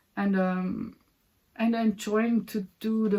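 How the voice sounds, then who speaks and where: A woman speaks with a German accent at a very slow pace. Her intonation is monotone and flat. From Austria. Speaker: puzzle hobby YouTuber. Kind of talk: casual vlog talk. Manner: halting, many repetitions and fillers.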